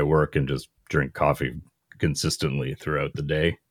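This man's pitch is very deep and low, with vocal fry running through it. He talks at a moderate pace with fairly even intonation. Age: 40s. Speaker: comedian. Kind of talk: casual chat.

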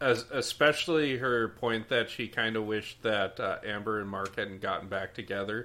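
On a very clean recording with a silent background, a voice with a Minnesota accent and a bright, sharp tone speaks at a moderate pace with ordinary pitch variation and hardly any pauses. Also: man, medium pitch for a man. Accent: Minnesota-style Upper Midwest. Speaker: podcast guest. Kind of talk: casual chat.

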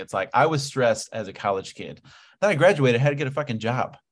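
Over a quiet background, a man with an American accent talks at a fairly quick pace. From Ohio, US. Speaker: online fitness coach. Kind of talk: casual interview chat. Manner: energetic, animated.

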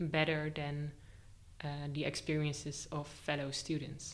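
A very slow woman's voice, very deep and low in pitch, with audible room echo. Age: 20s. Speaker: art teacher trainee. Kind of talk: casual interview. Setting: studio, face to face.

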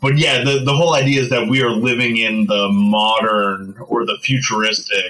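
This man has a plain, everyday voice. He talks at a fairly slow pace with ordinary pitch variation. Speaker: archaeologist. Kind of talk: casual chat.

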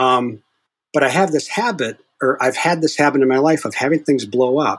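In an unremarkable speaking voice, a man talks at a fairly high pitch with ordinary pitch variation. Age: 60s. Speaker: hypnotist. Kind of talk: casual interview.

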